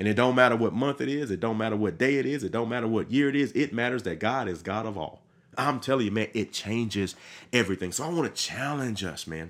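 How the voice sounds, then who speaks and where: Over a silent background in a very clean recording, a man with a Mississippi accent talks very fast in an animated, enthusiastic tone with ordinary pitch variation. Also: medium pitch for a man. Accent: Southern US, Mississippi. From Mississippi, US South. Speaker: pastor and podcast host. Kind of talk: podcast sermon monologue. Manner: casual with many fillers and repetitions.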